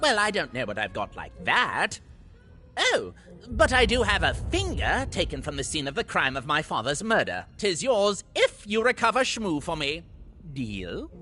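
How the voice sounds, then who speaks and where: Over clear background noise, a put-on character voice whines at a moderate pace in a theatrical, whiny tone. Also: man, high pitch for a man. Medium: video game. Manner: paranoid, theatrical, whiny.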